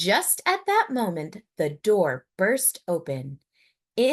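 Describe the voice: Quiet surroundings behind plain reading aloud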